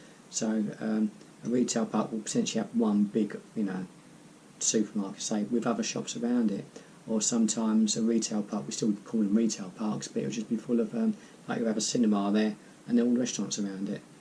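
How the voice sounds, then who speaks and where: Speaking at a fairly quick pace, a man with an English accent holds a monotone, flat intonation at fairly low pitch. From southern England, east of London. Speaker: YouTuber. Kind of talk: casual Q&A vlog. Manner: hesitant, many ums.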